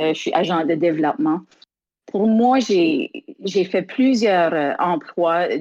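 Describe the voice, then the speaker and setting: A woman with an Acadian accent, medium pitch, lively intonation, a very slow pace and very even loudness. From Acadian Prince Edward Island, Canada. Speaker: singer and community development worker. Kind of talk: interview. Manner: halting, many repetitions.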